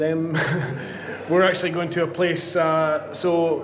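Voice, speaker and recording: A man's fairly high voice in a Scottish accent at a fairly slow pace, with audible room echo and noticeable background noise. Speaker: beer vlogger. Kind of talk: casual vlog chat. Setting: outdoor beer garden. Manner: loud.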